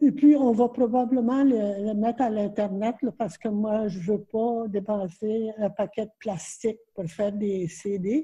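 A woman's dark, mellow, somewhat breathy voice at a fairly slow pace, hardly any pauses and ordinary pitch variation, over a quiet background. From Red River, Manitoba, Canada. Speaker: Métis elder, storyteller and author. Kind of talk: interview answer. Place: home room. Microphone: webcam.

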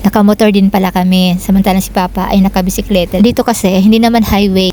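A woman speaks at a very fast pace with fairly even intonation. Noticeable background noise is present. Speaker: vlogger. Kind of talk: vlog narration. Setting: outdoors.

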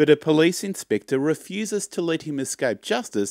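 A man's voice with very wide pitch swings at a moderate pace, dry with no echo, against a quiet background. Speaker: presenter. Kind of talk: show announcements, promotional read. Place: home room. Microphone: studio mic.

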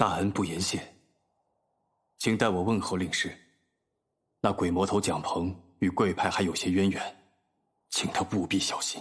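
In a put-on character voice that is very deep, low and raspy, a man speaks at a moderate pace with long, frequent pauses, on a very clean recording with a silent background. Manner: stammering, dazed, slowly growing fluent.

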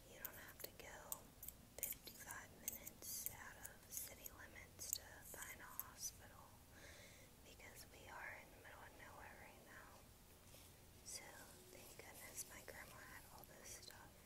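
A woman talks at a fairly slow pace with long, frequent pauses. Loud noise sits in the background. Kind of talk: soft roleplay talk to viewer. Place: home room. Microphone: earbuds.

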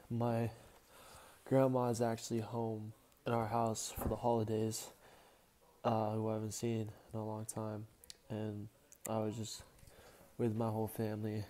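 A man talks at a moderate pace. His intonation stays monotone and flat. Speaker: weightlifting vlogger. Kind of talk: casual vlog chat. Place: home room. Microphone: earbuds.

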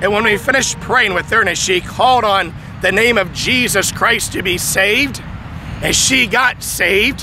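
A man's high voice at a moderate pace with ordinary pitch variation, dry with no echo, over noticeable background noise. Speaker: preacher. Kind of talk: sermon. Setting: outdoors. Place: open country. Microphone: handheld.

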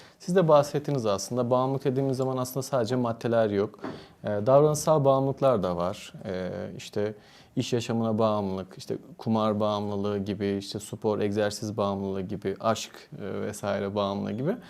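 A man with a fairly low pitch talks fairly quickly in an ordinary speaking voice with ordinary pitch variation. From Turkey, Antalya. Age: 30s. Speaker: psychiatrist. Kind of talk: interview.

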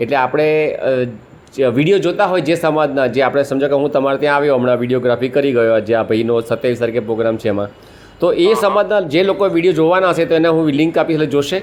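Lively intonation marks this man's fairly high voice, an ordinary speaking voice kept at very even loudness. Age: 60s. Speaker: retired social activist. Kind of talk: casual interview.

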